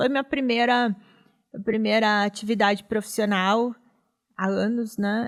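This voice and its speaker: A woman speaks in a monotone, flat way at a fairly slow pace, with long, frequent pauses. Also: fairly high pitch for a woman. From Rio Grande do Sul, Brazil (Vale dos Sinos). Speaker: professor and foreign trade consultant. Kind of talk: interview.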